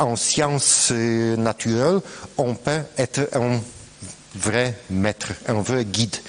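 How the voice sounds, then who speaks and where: A very slow man with a Polish accent, over noticeable background noise. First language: Polish (speaking French). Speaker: professor. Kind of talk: panel discussion. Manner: halting.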